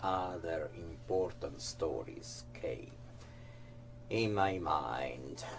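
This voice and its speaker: A man with an Italian accent and a very deep, low pitch speaks at a very slow pace with long, frequent pauses and very wide pitch swings, with audible room echo and music in the background. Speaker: actor and interviewer. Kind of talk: scripted narration.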